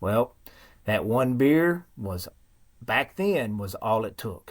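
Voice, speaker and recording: A man's medium-pitched voice with a strong Southern US accent, lively intonation and a very slow pace. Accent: thick Southern. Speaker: guest sharing recovery story. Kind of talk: testimony.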